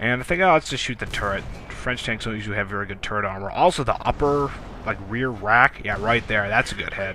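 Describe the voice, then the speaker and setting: Amid noticeable background noise, a man talks at a very fast pace with a medium pitch and ordinary pitch variation. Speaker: gameplay commentator. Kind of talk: gameplay commentary. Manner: animated.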